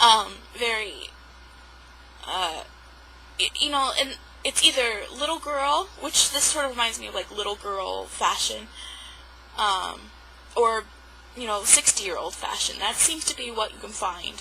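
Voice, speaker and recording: Against noticeable background noise, a woman with a fairly high pitch and lively intonation speaks at a fairly slow pace, with long, frequent pauses and big swings in loudness. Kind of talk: casual talk to camera. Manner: rambling, hesitant.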